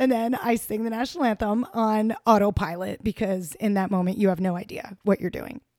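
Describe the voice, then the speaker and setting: This woman speaks at a fairly quick pace and a fairly high pitch, with ordinary pitch variation. The sound is dry and close with no echo. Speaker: high school activities director. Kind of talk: casual interview chat. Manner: upbeat, joyful.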